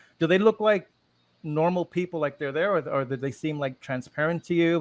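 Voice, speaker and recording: A man speaks at a very fast pace with ordinary pitch variation, the sound dry and close with no echo and the background quiet. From Puerto Rico. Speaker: interviewer. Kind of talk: interview.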